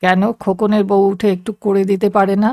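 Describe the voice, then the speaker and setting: In a rumbling put-on character voice, the speaker delivers a flat monotone at a moderate pace, the sound dry and close with no echo. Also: woman. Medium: read story. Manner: grumbling.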